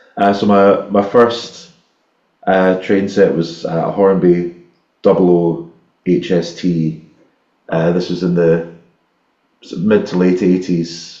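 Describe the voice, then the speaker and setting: A man with a Scottish accent, very deep and low in pitch, monotone and flat, at a very slow pace with long, frequent pauses and audible room echo. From Scotland, Ayrshire. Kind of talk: casual chat. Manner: halting, many repetitions.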